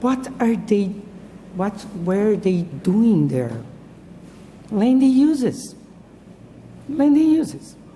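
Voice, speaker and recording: Amid audible room echo, a woman speaks very slowly at a fairly high pitch, with very wide pitch swings and long, frequent pauses. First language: Portuguese. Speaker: professor. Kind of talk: lecture. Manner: halting.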